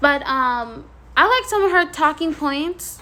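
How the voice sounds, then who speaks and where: The intonation is lively. Noticeable noise sits in the background. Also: woman. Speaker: YouTuber. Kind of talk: commentary vlog.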